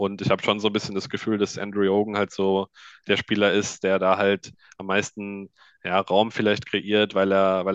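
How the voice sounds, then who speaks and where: Speaking at a moderate pace, a man uses a fairly low pitch with monotone, flat intonation. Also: dry, close sound with no echo, quiet background. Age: 20s. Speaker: ice hockey journalist. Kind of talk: casual chat.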